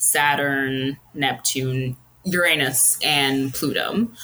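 The pace is very slow, with ordinary pitch variation. Noticeable background noise can be heard. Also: woman. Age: 30s. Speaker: astrology enthusiast with psychology degree. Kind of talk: casual chat.

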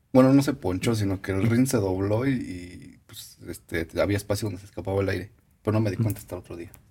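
A very fast, somewhat breathy male voice, dark and mellow in tone, fairly low in pitch, with ordinary pitch variation and big swings in loudness. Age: young. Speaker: podcast co-host. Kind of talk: casual chat.

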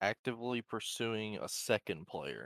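A man speaks at a fairly slow pace with vocal fry. The sound is dry and close, with no echo. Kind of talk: casual chat. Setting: live stream.

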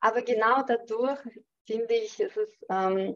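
Fairly slow speech in a Chechen accent. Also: woman. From Chechnya. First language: Chechen (speaking German). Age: 30s. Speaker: cyber security engineer. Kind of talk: interview. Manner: hesitant, many fillers.

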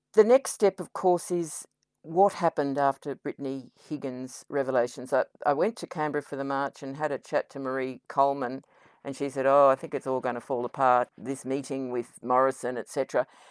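A woman with an Australian accent speaks in a very deep, low voice with ordinary pitch variation and big swings in loudness, recorded very cleanly with a silent background and a dry, close sound with no echo. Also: fairly quick pace. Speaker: podcast co-host. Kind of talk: interview. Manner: enthusiastic.

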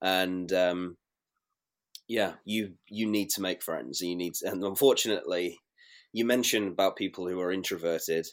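A man speaks with a British accent, his pitch very deep and low, with ordinary pitch variation. His pace is moderate, and the recording is very clean with a silent background. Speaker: former cruise ship crew member. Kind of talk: casual interview chat.

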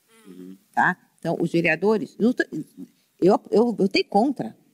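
With vocal fry at a medium pitch, a woman speaks at a moderate pace in a dry, close recording free of echo. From Rio de Janeiro, Brazil (Penha). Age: 60s. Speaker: city councillor, former bank executive. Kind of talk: casual interview chat.

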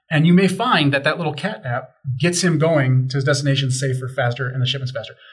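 A somewhat breathy man with an American accent, at a very fast pace, with ordinary pitch variation. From Chicago. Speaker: tech company sales manager. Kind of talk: casual chat.

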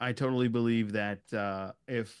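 A man with an American accent in a normal speaking voice, fairly low in pitch, with fairly even intonation, on a very clean recording with a silent background. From US. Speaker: YouTube Star Trek show host, guest. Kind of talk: casual chat.

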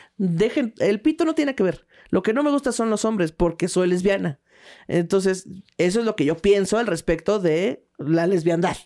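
A woman with a Mexican accent speaks in a dark, mellow tone with lively intonation. Her loudness stays very even on a very clean recording with a silent background. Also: medium pitch for a woman, moderate pace. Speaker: stand-up comedian. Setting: studio. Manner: animated, playful, punchline-driven storytelling.

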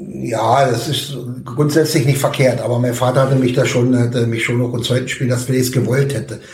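Over noticeable background noise and audible room echo, a man speaks at a fairly quick pace in a medium pitch with monotone, flat intonation. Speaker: football coach. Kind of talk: casual interview. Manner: hesitant with fillers.

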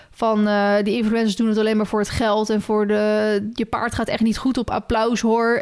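A woman is speaking. Her pace is moderate. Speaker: podcast co-host. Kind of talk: casual chat.

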